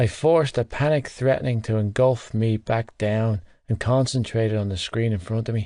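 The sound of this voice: Reading in an unforced voice, the speaker keeps the intonation fairly even.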